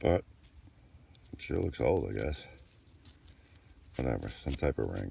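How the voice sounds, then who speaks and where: Intonation is lively, with vocal fry and a fairly slow pace. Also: man. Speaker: metal detecting hobbyist. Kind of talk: casual vlog narration. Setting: outdoors. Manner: excited, animated.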